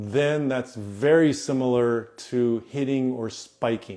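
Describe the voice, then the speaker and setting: A man speaks at a very slow pace. His pitch sits in the middle range. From United States, Japanese family. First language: Japanese. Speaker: volleyball coach. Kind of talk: live Q&A stream. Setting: Instagram live stream.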